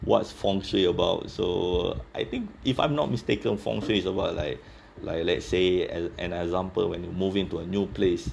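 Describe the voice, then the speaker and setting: A man talks at a moderate pace in a Singaporean accent. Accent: Singaporean English, somewhat Singlish. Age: 30s. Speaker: office worker interviewed about his country. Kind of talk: casual interview chat. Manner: halting, many fillers.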